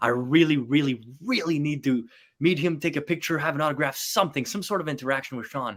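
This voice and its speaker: A man with a French accent speaks at a very fast pace with ordinary pitch variation. The recording is very clean, with a silent background. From northern Quebec, Canadian Arctic. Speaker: magician. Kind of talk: casual chat.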